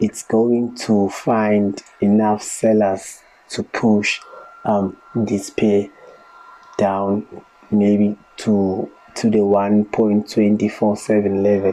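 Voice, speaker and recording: Very slow speech over noticeable background noise. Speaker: market analyst. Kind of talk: tutorial. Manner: hesitant with fillers.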